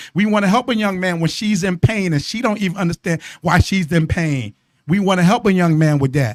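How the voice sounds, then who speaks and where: A man speaks at a fairly quick pace with a high pitch. His tone is animated. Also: ordinary pitch variation. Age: 60s. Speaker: radio host, marriage coach. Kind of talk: casual radio talk show chat. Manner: animated, repetitive.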